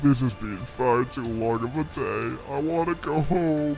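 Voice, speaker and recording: Over clear background music, a man puts on a rumbling character voice. His pitch sits at a medium level. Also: moderate pace. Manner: grumbling, weary.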